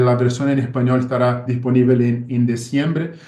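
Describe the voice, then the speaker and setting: In a Portuguese accent, a man talks at a moderate pace and medium pitch with a dark, mellow tone. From Brazil. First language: Portuguese (speaking Spanish). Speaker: ophthalmologist. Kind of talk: lecture. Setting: video call. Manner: halting.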